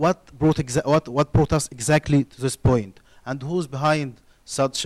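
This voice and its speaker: A man with an Arabic accent speaks at a moderate pace and fairly high pitch, with fairly even intonation and big swings in loudness. The recording is very clean with a silent background and a dry, close sound with no echo. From Egypt. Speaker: university student, audience member. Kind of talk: studio audience question. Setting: TV studio with audience. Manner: halting, many restarts.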